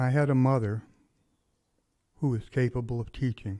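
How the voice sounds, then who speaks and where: A man with an American accent speaks at a moderate pace and a medium pitch, somewhat breathy, in a dark, mellow tone. His intonation is fairly even, and the recording is very clean with a silent background. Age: 50s. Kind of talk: interview answer. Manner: calm, thoughtful.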